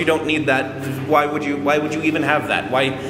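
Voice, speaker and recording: Loud man at a moderate pace, with audible room echo and noticeable background noise. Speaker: vlogger. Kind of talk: casual vlog monologue. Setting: laundry room with echo. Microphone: echoey room reverb.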